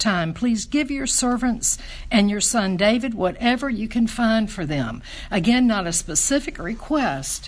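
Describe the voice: Lively intonation in plain reading aloud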